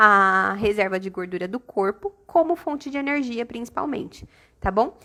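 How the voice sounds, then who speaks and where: A bright, sharp tone comes across on a very clean recording with a silent background. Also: woman. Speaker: aesthetics educator. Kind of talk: live-stream lecture. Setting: live stream.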